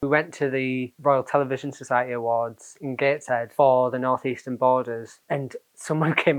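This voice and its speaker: A man at medium pitch with a Teesside accent, moving at a moderate pace. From Teesside, Middlesbrough, northern England. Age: 20s. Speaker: actor and playwright. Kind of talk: casual chat. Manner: animated.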